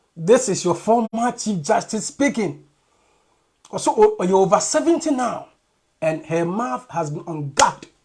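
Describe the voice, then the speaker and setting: The speaker talks at a moderate pace with a Ghanaian accent. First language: Twi. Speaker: commentator. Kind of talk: political commentary.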